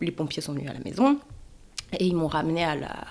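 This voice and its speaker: A woman's voice, fairly low in pitch. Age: 30s. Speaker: stroke survivor, radiology technician, mother. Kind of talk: personal testimony. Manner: halting, many hesitations.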